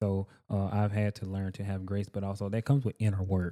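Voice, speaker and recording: A man with a Southern US accent speaks in a dark, mellow tone, recorded very cleanly against a silent background with a dry, close sound and no echo. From US South, rural Georgia. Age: 30s. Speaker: welder and entrepreneur. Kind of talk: casual chat. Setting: studio.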